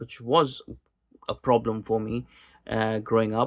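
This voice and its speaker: A man with a Pakistani accent on a very clean recording with a silent background. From Pakistani expat community in Kuwait, Gulf. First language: Urdu. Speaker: political podcaster. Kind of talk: casual monologue. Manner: halting, many repetitions and fillers.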